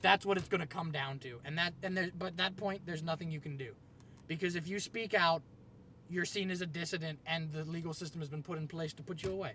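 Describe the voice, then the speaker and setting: Loud and very fast, a man with a high voice and an American accent speaks in a bright, sharp tone with fairly even intonation. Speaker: video blogger. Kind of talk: rant. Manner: halting.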